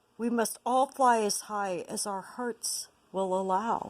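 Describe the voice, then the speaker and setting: Putting on a character voice, a woman speaks in a fairly high pitch at a fairly slow pace. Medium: read story. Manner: calm, wise.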